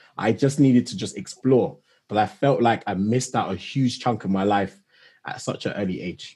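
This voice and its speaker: A man talks at a moderate pace with a London accent. His voice is fairly low in pitch, with a dark, mellow tone. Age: 20s. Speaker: technology manager and travel influencer. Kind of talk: interview.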